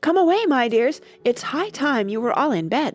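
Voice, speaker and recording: A shaky, put-on character voice, female-sounding and high-pitched, with very wide pitch swings at a moderate pace over faint music in the background. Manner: trembling.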